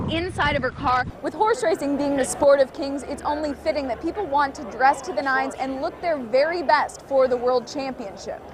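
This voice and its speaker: A woman with an American accent talks at a fairly quick pace in a high pitch with ordinary pitch variation. Noticeable background noise is present. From Kansas. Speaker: TV news anchor and reporter. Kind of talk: TV news field reporting.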